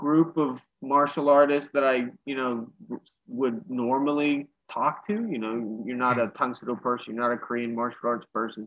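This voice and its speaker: In a normal speaking voice with an American accent, a man talks at a moderate pace with medium pitch and ordinary pitch variation. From Western Pennsylvania, Pittsburgh. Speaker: karate instructor. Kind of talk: casual chat.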